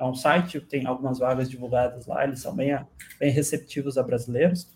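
A man speaks with a somewhat breathy voice at a medium pitch and fairly even intonation. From Brazil, southern Minas Gerais (Itajubá). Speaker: product designer and teacher. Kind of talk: casual interview chat.

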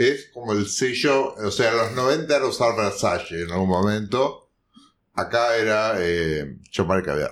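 A normal speaking voice from a man, medium in pitch, with lively intonation and a fairly slow pace. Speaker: podcast host. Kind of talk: casual chat.

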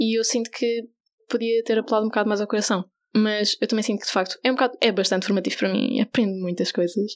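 A woman talks at a fairly quick pace in a fairly high pitch. It is a normal speaking voice with fairly even intonation. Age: 20s. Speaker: LGBTI youth association volunteer educator. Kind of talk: radio interview.

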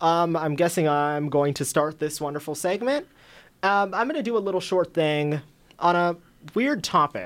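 A man with an American accent speaks in a high pitch with ordinary pitch variation at a moderate pace. The recording is very clean, with a silent background. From Arizona, Surprise. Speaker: student panel show moderator. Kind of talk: casual panel chat. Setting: studio.

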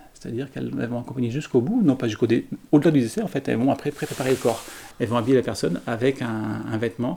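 Here a man speaks very fast. His medium-pitched voice has a dark, mellow tone. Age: 60s. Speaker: care home director. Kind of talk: interview testimony. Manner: halting.

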